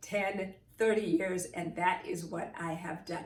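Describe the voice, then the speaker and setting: With a Zimbabwean accent, a woman speaks at a very slow pace amid audible room echo. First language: Shona. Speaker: mindfulness teacher. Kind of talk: personal talk to camera.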